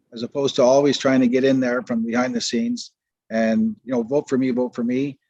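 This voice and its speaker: A man with a Canadian accent has a dark, mellow tone and monotone, flat intonation, recorded with a dry, close sound with no echo. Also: medium pitch for a man, fairly quick pace. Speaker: county councillor. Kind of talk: council meeting debate. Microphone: too quiet, hard to hear.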